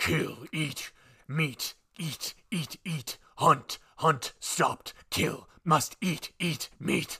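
In a put-on character voice, someone growls at a middle pitch and a very slow pace. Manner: obsessive, repetitive, hungry.

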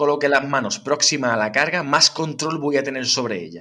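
At a moderate pace, a man speaks with a bright, sharp tone at a fairly high pitch. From Huelva, Andalusia, Spain. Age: 30s. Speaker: fitness trainer. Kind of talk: interview. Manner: frequent tag questions.

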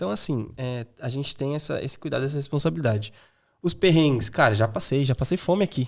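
A man with a São Paulo accent talks very fast in a fairly high voice, his intonation lively. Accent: Paulistano Brazilian Portuguese. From Brazil, São Paulo East Zone. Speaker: sales manager, former exchange student. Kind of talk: casual interview.

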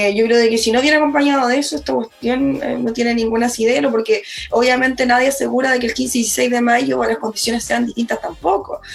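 A woman's high voice with ordinary pitch variation and a fairly quick pace, over music in the background. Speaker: lawyer, constitutional convention candidate. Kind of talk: political interview. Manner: halting, repeats words.

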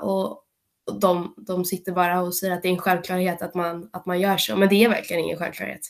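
Fairly quick delivery in a flat, monotone intonation. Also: woman. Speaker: club podcast co-host. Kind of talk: casual chat. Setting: video call.

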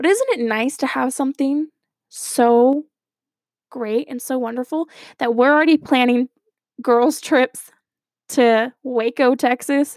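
A woman in an American accent, high-pitched with ordinary pitch variation and long, frequent pauses, recorded dry and close with no echo. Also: fairly slow pace. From Arizona. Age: 20s. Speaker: podcast host and student. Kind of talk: personal monologue.

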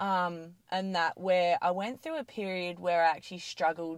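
Medium-pitched woman at a fairly slow pace, with ordinary pitch variation, on a very clean recording with a silent background. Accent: Australian. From Australia, Adelaide Hills (South Australia). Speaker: gym owner and fitness trainer. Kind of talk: casual interview chat.

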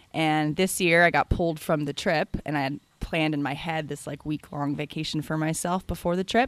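Very deep and low in pitch, a woman speaks with an American accent at a fairly quick pace and ordinary pitch variation. The sound is dry and close with no echo, on a very clean recording with a silent background. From US West Coast, San Francisco. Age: 30s. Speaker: retail business consultant, former corporate retail worker. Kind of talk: interview.

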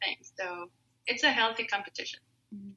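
A woman speaks with a Spanish accent in a dry, close recording with no echo. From Mexico. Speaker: opera singer. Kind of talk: interview. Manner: hesitant, many fillers.

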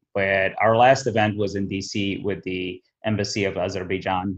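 Monotone and flat, a man's fairly low voice moves at a moderate pace. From Abu Dhabi, UAE (born in Somaliland). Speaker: nonprofit co-founder. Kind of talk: interview. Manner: frequent fillers (you know, um).

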